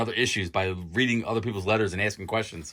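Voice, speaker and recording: Loud and bright, with a sharp tone, a man speaks at a fairly low pitch on a very clean recording with a silent background. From Philadelphia, US. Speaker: comic book YouTuber. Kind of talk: casual video review. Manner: fast.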